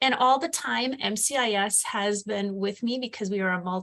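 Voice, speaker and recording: A woman with an Upper Peninsula Michigan accent. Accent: Upper Midwest (Yooper). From Upper Peninsula of Michigan. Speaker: education program specialist. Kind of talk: webinar presentation. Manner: fast.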